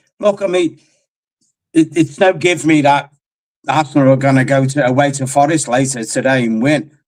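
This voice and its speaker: This man talks at a moderate pace, with a fairly high pitch and ordinary pitch variation. His speech has long, frequent pauses. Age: 60s. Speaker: football fan on a call-in. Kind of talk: casual chat. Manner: animated.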